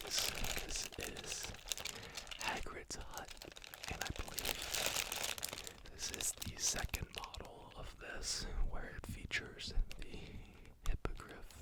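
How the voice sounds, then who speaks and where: The voice is whispering at a very slow pace. Noticeable background noise is present. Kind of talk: ASMR thrift haul presentation. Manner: quiet, whispering, relaxing.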